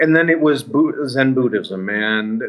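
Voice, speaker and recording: A man with an American accent, a plain, everyday voice, ordinary pitch variation, and a moderate pace. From United States. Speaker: paranormal investigator. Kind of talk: interview.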